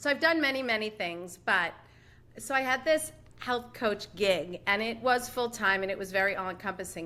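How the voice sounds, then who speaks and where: A woman talks at a moderate pace with lively intonation. Her tone is bright and sharp. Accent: American. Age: 60s. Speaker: life coach. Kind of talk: interview. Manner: chatty, with many fillers.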